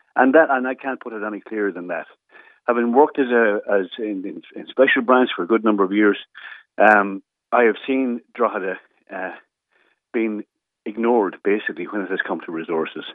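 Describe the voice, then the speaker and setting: Delivered at a fairly quick pace with an Irish accent, the speech has ordinary pitch variation, big swings in loudness, and long, frequent pauses. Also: man, fairly low pitch for a man. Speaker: local councillor and former police officer. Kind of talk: radio interview.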